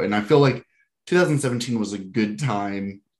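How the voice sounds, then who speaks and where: A man speaks at a fairly low pitch against a quiet background. He has a plain, everyday voice. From US South, Georgia. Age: 20s. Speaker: podcast host. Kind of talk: casual interview.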